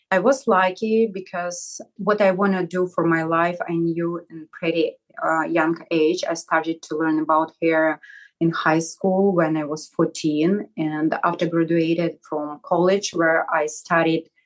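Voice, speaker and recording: A woman with a Russian accent speaks at a very slow pace, her fairly low pitch held in fairly even intonation. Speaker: hair salon owner. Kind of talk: interview.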